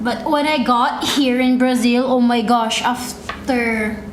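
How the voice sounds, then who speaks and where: A woman with a Filipino accent speaks very slowly in a high pitch, with audible room echo and noticeable background noise. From Philippines. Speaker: live streamer. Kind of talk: casual chat. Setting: live stream.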